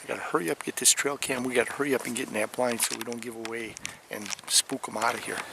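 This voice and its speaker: There is noticeable background noise. A man with an American accent speaks at medium pitch and a fairly quick pace. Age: 60s. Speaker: hunting vlogger. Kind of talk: outdoor vlog narration. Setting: outdoors in a hunting blind.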